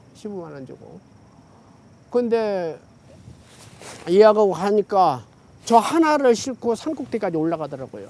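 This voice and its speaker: A man talks in a high pitch at a fairly slow pace with long, frequent pauses. His pitch swings very widely and his loudness shifts in big swings. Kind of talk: casual oral-history interview answer. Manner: relaxed, chatty, conversational.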